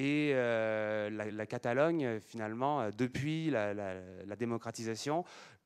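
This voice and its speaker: Very slowly, a man speaks at medium pitch. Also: ordinary pitch variation. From France. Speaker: conference speaker on languages. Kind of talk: lecture. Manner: halting, many fillers and repetitions.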